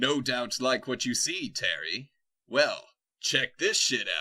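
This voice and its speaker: A man's put-on character voice, cackling at a fairly slow pace. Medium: actual play. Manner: theatrical, cackling, repeats a catchphrase.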